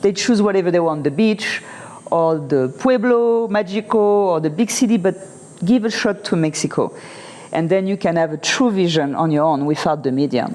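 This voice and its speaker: A French accent at a moderate pace, lively intonation and very even loudness over noticeable background noise. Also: woman, medium pitch for a woman. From France. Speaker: interview guest, expat. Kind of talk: casual interview.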